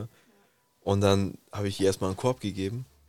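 The recording is very clean, the background silent. A man with a fairly low pitch speaks at a very fast pace. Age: 20s. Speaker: podcast co-host. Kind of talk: casual chat.

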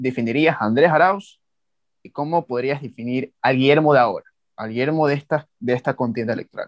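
A man with a plain, everyday voice speaks at a medium pitch with ordinary pitch variation, the sound dry and close with no echo against a quiet background. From Ecuador. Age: 20s. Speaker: podcast host. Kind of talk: interview.

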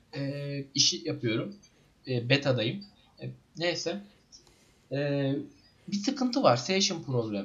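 Pausing long and often, a man with a fairly high pitch speaks at a very slow pace with lively intonation. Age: 20s. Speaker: podcast co-host, web developer. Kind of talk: casual chat. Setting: online voice call.

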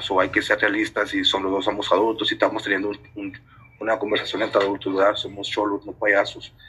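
A man talks very fast in a monotone, flat delivery. Noticeable background noise runs underneath. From Detroit, Michigan, US. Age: 20s. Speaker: guest, friend from work. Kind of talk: casual chat.

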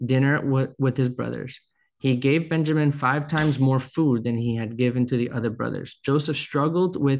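Over a quiet background, a man with an ordinary speaking voice talks at a moderate pace, medium in pitch, with fairly even intonation. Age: 30s. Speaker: pastor. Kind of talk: sermon.

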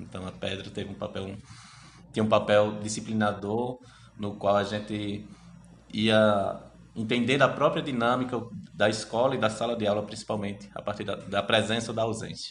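Long, frequent pauses break up a man's fairly low, monotone, flat delivery. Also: moderate pace. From Brazil, Sergipe (Itabaiana, rural). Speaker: history researcher. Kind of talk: interview.

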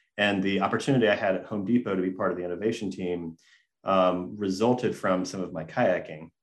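A very deep, low male voice with an American accent, very fast and fairly even in intonation, against a quiet background. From US South, Gainesville, Georgia. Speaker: design firm founder. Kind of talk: interview. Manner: halting.

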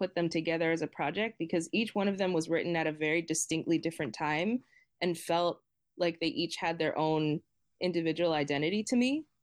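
This is a woman with an American accent. She talks at a moderate pace. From Boston, Massachusetts, US. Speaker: singer-songwriter and music teacher. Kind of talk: casual interview chat.

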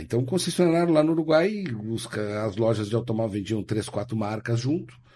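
Speaking at a moderate pace, a man with a medium-pitched voice and a dark, mellow tone makes very wide pitch swings. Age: 50s. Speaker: car and motorcycle dealer. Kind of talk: casual interview chat.

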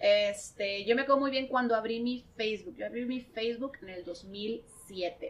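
Delivery is fairly slow with hardly any pauses and ordinary pitch variation. Loudness swings widely. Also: woman, fairly high pitch for a woman. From Mexico, Tijuana. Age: 30s. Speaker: marketer and podcaster. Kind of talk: casual chat.

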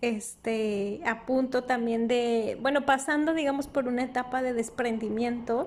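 A high-pitched woman at a fairly slow pace, with fairly even intonation. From northern Mexico, Durango. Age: 30s. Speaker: podcast host. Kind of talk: casual monologue. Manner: hesitant, with fillers.

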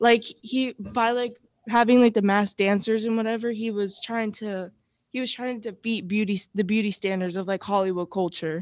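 A woman speaks at a fairly high pitch and a moderate pace, in a plain, everyday voice with fairly even intonation. The recording is very clean, with a silent background. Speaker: entertainment staffer. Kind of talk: casual chat. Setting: studio.

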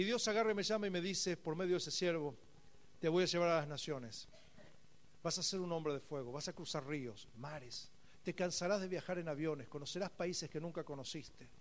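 Talking at a fairly quick pace, a man with a high voice and ordinary pitch variation is heard with audible room echo. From Argentina, Buenos Aires area. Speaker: pastor. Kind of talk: sermon.

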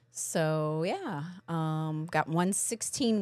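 A woman speaks in an American accent with lively intonation. The recording is very clean, with a silent background. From Kentucky, US South. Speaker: podcast co-host, graduate student. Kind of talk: casual podcast chat.

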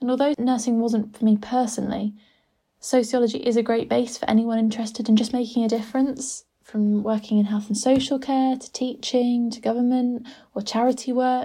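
A woman with an English accent speaks fairly quickly in a fairly high pitch, her tone dark and mellow and her intonation monotone and flat. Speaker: sociology graduate. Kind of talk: scripted monologue.

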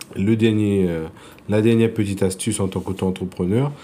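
Speaking in a Réunion accent, a man has a fairly low pitch and a dark, mellow tone. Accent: Réunion French accent, noticeable. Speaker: insurance broker. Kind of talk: interview.

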